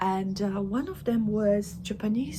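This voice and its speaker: A somewhat breathy woman's voice with a Polish accent, dark and mellow in tone, at a medium pitch and a fairly slow pace. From Poland. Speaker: craft vlogger. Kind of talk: casual vlog chat. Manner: halting, many fillers; mumbling.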